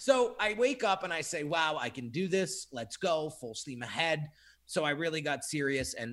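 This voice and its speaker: A man's plain, everyday voice, fairly high-pitched, at a moderate pace with lively intonation, on a very clean recording with a silent background. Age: 30s. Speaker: graphic designer and entrepreneur. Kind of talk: casual interview chat.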